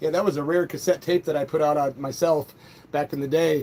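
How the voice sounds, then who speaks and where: A man's fairly high voice is heard with noticeable background noise behind it. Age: 60s. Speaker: punk rock musician and livestreamer. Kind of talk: casual live stream chat, reading viewer comments. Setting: solo live stream. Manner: animated.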